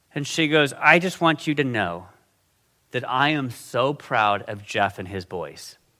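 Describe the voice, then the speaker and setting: This man's voice sits at a medium pitch and carries a bright, sharp tone with vocal fry and lively intonation. He speaks at a fairly slow pace on a very clean recording with a silent background. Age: 50s. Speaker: guest preacher. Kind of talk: sermon. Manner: casual.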